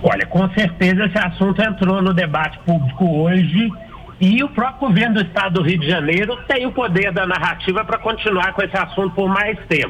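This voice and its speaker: Over noticeable background noise, a man with a high pitch speaks at a fairly quick pace with very even loudness and ordinary pitch variation. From Minas Gerais, Brazil (Belo Horizonte). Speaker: political marketing consultant and author. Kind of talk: radio interview.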